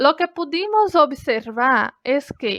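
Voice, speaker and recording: With a Brazilian accent and lively intonation, a woman speaks at a very slow pace in a dry, close sound with no echo. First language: Brazilian Portuguese (speaking Spanish). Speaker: language student. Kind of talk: class presentation.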